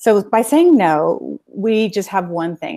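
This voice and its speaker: A woman with a Californian accent speaks in a dark, mellow tone with lively intonation, recorded very cleanly over a silent background. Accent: Californian American. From US West Coast (Los Angeles, San Fernando Valley). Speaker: self-help business executive and coach. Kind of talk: interview conversation.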